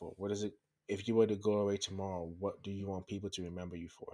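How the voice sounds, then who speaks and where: This man talks in a monotone with flat intonation and a fairly low pitch. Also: very clean recording, silent background. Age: 20s. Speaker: solo podcast host. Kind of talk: casual solo monologue. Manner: many filler words (um, uh).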